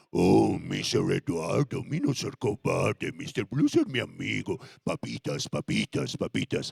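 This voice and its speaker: Speaking at a fairly slow pace, a man uses a put-on character voice that sounds guttural. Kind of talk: simple, broken speech. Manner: timid, pleading.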